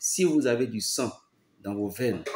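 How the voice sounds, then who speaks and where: Male voice of medium pitch at a very slow pace. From Benin. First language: a Beninese language, not French (speaking French). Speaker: pastor. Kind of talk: preaching monologue. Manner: emphatic, repetitive.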